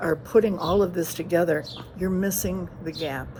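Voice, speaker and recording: At a moderate pace, a woman speaks in a fairly low pitch. Background noise is noticeable. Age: 70s. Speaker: retired homebound patient advocate. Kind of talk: presentation. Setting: at home. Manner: halting, many fillers and restarts.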